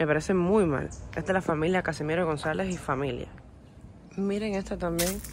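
Over noticeable background noise, a woman with vocal fry speaks at a fairly low pitch and a moderate pace, with ordinary pitch variation and a dry sound with no echo. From Cuba. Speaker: YouTube vlogger; travel vlogger. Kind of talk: walking tour vlog. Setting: outdoors. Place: open country. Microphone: phone near.

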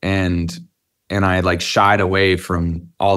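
Set against a quiet background, a man speaks with a very deep, low pitch. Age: 30s. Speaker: rock band singer. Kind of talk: interview. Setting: rehearsal warehouse, remote interview. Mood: reflective, candid. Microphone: video call.

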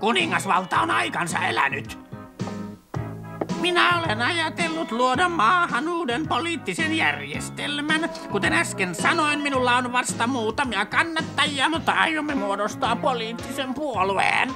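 A cartoonish character voice comes through at a fairly high pitch. Clear music plays in the background. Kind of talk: cartoon dub acting. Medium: fan dub. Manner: pushy, ranting, self-important.

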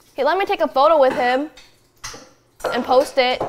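Over light background noise, a woman speaks at a moderate pace in an animated tone, her pitch high with ordinary variation. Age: 20s. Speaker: streamer; guest. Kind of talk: casual chat. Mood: relaxed, chatty. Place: kitchen. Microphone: lapel.

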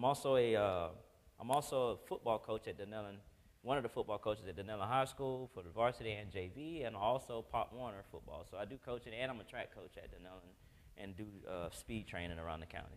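A man talks at a very fast pace. His loudness swings a lot. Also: ordinary pitch variation. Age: 40s. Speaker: Paralympic athlete and motivational speaker; motivational speaker. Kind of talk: testimony. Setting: stage with audience. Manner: animated. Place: church.

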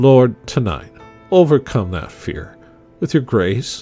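Over music in the background, a man speaks at a fairly slow pace with very wide pitch swings. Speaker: church pastor. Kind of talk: spoken prayer. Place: home room.

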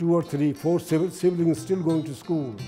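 A man talks at a fairly slow pace with a fairly high pitch. Faint music plays in the background. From Punjab, India. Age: 80s+. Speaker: immigrant grandfather. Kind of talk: interview answer, personal life reflection. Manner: hesitant, many fillers. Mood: proud, reflective. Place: home room. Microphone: lapel.

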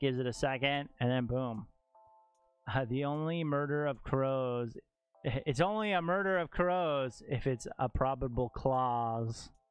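Faint music plays in the background as a man talks at a fairly slow pace with ordinary pitch variation in a dry sound with no echo. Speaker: streamer teaching viewers. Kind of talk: tutorial. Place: home room. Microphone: studio mic.

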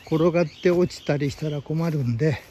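A man's fairly even intonation comes through light background noise. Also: dry sound with no echo. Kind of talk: casual vlog chat. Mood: surprised, mildly annoyed. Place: open country. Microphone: phone near.

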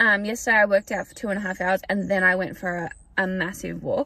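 A woman's voice, dry with no echo. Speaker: vlogger. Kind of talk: casual vlog chat. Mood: chatty, upbeat. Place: car. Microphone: phone near.

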